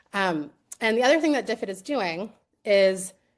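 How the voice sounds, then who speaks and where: A woman at a medium pitch, with lively intonation, against a quiet background. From US East Coast. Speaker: edtech presenter, former teacher. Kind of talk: live webinar product demo. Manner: fast.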